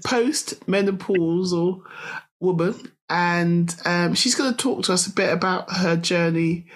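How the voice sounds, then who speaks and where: With a British accent, a woman talks at a fairly slow pace, her fairly low pitch showing ordinary variation. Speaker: podcast host. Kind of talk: interview.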